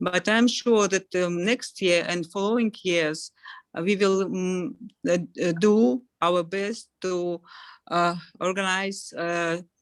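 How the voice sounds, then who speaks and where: The speaker talks at a very slow pace with a Russian accent. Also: woman. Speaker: event organizer. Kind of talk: closing remarks. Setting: video call. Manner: halting.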